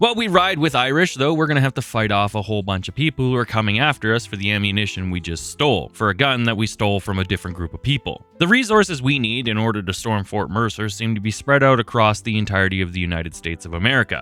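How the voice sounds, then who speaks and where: Music plays in the background as the voice rushes along at a very fast pace with lively intonation and hardly any pauses. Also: man, fairly low pitch for a man. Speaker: gaming video creator. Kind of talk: game commentary with narration. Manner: casual, conversational.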